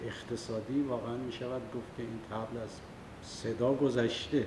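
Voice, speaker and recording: In an Isfahani accent, a man speaks at medium pitch and a fairly slow pace with monotone, flat intonation. Audible room echo and noticeable background noise are present. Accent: Isfahani Persian. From Iran, Isfahan. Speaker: political activist. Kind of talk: public talk. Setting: meeting hall with audience.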